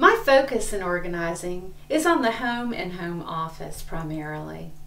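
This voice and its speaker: Amid noticeable background noise and audible room echo, a woman talks with a Southern US accent. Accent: Southern US (Georgia). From US South, Atlanta, Georgia. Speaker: professional organizer. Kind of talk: promotional self-introduction.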